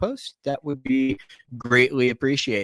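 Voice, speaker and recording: The recording is very clean, with a silent background and a dry, close sound with no echo. A man speaks at medium pitch with lively intonation in an unremarkable speaking voice. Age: 40s. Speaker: podcast co-host. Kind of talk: casual chat.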